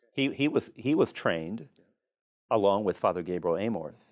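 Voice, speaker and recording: A man with a Midwestern American accent, fairly low in pitch, with lively intonation at a moderate pace, in a very clean recording with a silent background. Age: 60s. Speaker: priest and exorcist. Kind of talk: podcast interview.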